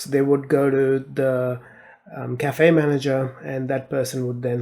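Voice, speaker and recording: Moderate-paced speech against noticeable background noise. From India. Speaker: tech leadership podcaster. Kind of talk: podcast monologue. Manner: conversational with many fillers.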